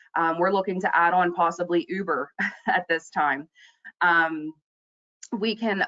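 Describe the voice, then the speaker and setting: A woman talks in an unremarkable speaking voice. Her pitch is fairly low and her intonation fairly even. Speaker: youth employment program presenter. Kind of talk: presentation on a conference call. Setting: webinar call.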